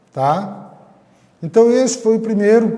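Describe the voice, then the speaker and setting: Speech moves at a fairly slow pace with audible room echo. Noticeable background noise is present. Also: man. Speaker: teacher. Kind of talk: lecture. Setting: recorded online class.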